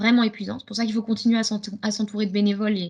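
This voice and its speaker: The woman's voice is somewhat breathy. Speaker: gymnastics club coach. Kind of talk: webinar presentation. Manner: fast.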